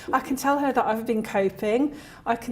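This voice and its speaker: A woman with a fairly high pitch is heard over noticeable background noise. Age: 60s. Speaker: former job seeker, service user. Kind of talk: interview testimony. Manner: halting.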